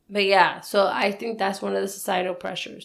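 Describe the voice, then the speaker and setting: Audible room echo follows the woman's voice as she talks at a moderate pace. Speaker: podcast co-host. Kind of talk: casual chat.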